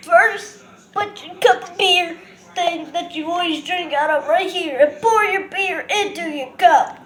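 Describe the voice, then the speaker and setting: In a cartoonish character voice, the speaker uses extremely high pitch at a fairly slow pace. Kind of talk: puppet show talk to camera.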